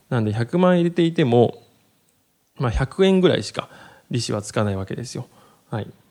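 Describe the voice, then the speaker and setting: A dark, mellow tone carries very wide pitch swings and big swings in loudness. The pace is fairly quick, broken by long, frequent pauses. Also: man, medium pitch for a man. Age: 30s. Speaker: podcast host on personal finance. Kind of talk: solo educational talk. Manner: many filler words.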